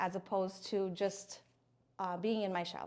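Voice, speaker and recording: A woman speaks with a Filipino accent at a medium pitch. Her intonation stays fairly even. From Philippines. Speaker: speech language pathologist, alumna. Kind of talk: interview testimony. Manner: hesitant with fillers.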